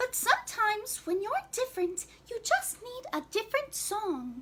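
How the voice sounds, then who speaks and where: Putting on a squeaky character voice, a woman speaks at a moderate pace with an extremely high pitch and very wide pitch swings. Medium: read story.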